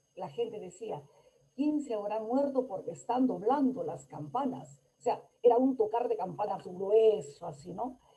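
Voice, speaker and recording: Speaking fairly slowly, a woman uses a fairly high pitch. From Peru, Lambayeque. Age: 70s. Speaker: conference speaker. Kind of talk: lecture.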